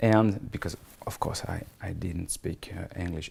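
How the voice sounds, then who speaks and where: Speaking over noticeable background noise, a man with a French accent keeps a fairly low pitch and fairly even intonation. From France. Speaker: comics writer and screenwriter. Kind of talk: interview. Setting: his office in Paris. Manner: halting.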